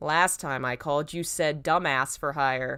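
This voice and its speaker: A woman puts on a character voice pitched very deep and low. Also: moderate pace. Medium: read story. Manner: casual, friendly.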